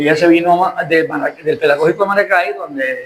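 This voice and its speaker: A high-pitched man rushes along at a very fast pace over noticeable background noise. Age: 70s. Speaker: journalist and lawyer. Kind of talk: interview. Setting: restaurant.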